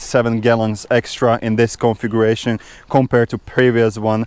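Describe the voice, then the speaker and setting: The sound is dry and close, with no echo, and the recording is very clean against a silent background. The speech moves at a moderate pace. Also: man. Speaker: motorcycle vlogger. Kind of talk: product review vlog.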